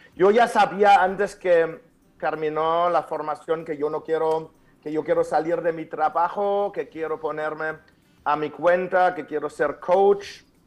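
At a fairly slow pace, a man with a German accent talks with fairly even intonation. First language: German (speaking Spanish). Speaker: author and speaker. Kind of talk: interview. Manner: halting.

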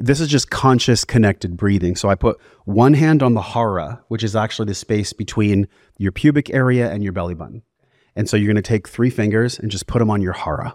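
A man speaks fairly quickly in an ordinary speaking voice, fairly low in pitch with ordinary pitch variation. The recording is very clean with a silent background and a dry, close sound with no echo. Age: 40s. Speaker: wellness podcast host and breathwork facilitator. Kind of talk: casual chat; guided breathing instruction.

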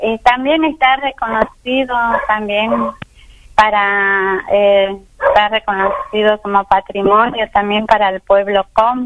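Over noticeable background noise, a woman speaks very slowly at a fairly high pitch with fairly even intonation. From Argentina, Chaco. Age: 50s. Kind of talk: radio interview. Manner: halting.

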